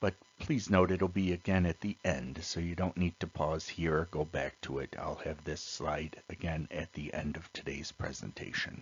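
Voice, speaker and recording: Very deep, low male voice at a moderate pace, with hardly any pauses. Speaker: teacher. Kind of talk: lecture. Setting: recorded video lesson.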